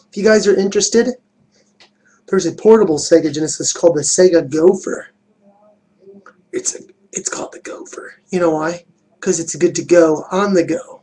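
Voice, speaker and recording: A man speaks at a moderate pace with a dark, mellow tone. His pitch is high, and he leaves long, frequent pauses. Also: big swings in loudness. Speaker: video game reviewer. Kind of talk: product review video. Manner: casual, animated.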